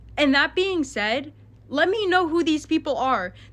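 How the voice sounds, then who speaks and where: A woman's voice rings out extremely high, raised and projected. Her tone is bright and sharp. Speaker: content creator addressing online drama. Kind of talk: casual vlog rant to viewers. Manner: fast.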